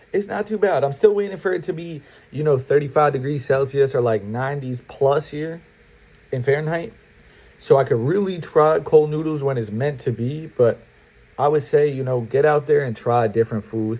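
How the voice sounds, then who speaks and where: In an American accent, the speaker has a dark, mellow, somewhat breathy tone, a moderate pace and ordinary pitch variation. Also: man, fairly high pitch for a man. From upstate New York. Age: 20s. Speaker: student vlogger. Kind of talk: casual advice vlog. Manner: casual, conversational.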